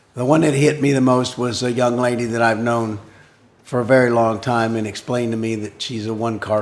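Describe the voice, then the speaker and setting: There is noticeable background noise and audible room echo as a man of medium pitch talks at a fairly quick pace. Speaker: village council member. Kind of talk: council meeting discussion.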